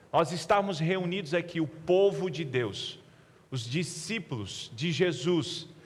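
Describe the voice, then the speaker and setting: Audible room echo surrounds a man whose voice is at a high pitch. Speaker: pastor. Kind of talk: sermon. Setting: church.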